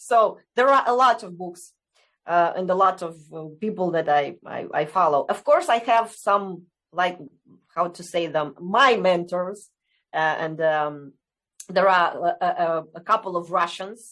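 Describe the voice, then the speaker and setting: Over a quiet background, a woman with a Romanian accent speaks at a moderate pace and medium pitch, with ordinary pitch variation and long, frequent pauses. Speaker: essential oils distributor. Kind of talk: interview. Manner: halting.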